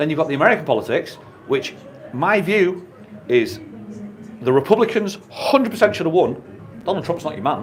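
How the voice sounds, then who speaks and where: A man's high-pitched voice at a fairly quick pace, with very wide pitch swings, long, frequent pauses, and noticeable background noise. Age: 50s. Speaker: YouTuber. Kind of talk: radio interview. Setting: radio studio.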